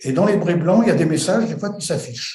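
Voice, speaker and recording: A man's dark, mellow, somewhat breathy voice carries audible room echo. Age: 70s. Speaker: retired airline pilot. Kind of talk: testimony. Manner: halting, many hesitations.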